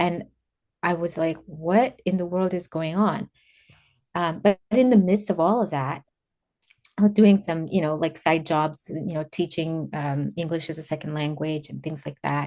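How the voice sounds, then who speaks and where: With a Kenyan accent, a woman speaks at a moderate pace in a fairly low pitch with ordinary pitch variation. Her tone is dark and mellow. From Kenya, Nairobi. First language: Kikuyu. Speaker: former government official and faith organizer. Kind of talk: interview, personal testimony.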